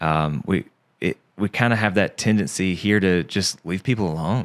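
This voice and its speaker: A man with a very deep, low voice and a strong Southern US accent, ordinary pitch variation and moderate pace, in a very clean, dry, close recording with a silent background and no echo. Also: very even loudness. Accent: Southern accent, strong again after fading. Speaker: podcast guest, insurance agent. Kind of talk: casual interview chat. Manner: halting, many fillers and repeats.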